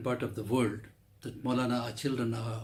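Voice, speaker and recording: Somewhat breathy and medium in pitch, a man's voice carries audible room echo. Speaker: Islamic cleric and lecturer. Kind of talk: religious lecture.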